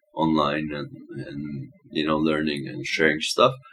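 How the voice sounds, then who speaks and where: Music runs behind the voice. A man keeps a moderate pace. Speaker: breakcore producer and promoter. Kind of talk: casual interview chat. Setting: studio.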